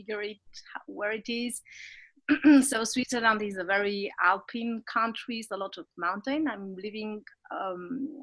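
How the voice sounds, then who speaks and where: Bright and sharp in tone, a woman's fairly high voice moves at a fairly slow pace with fairly even intonation on a very clean recording with a silent background. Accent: non-native. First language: not English. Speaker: business coach. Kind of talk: interview. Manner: halting, many restarts.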